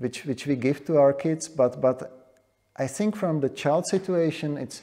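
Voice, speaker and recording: A man's dark, mellow voice in a Czech accent, at a moderate pace with ordinary pitch variation. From Czechia. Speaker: demographer. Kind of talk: panel discussion.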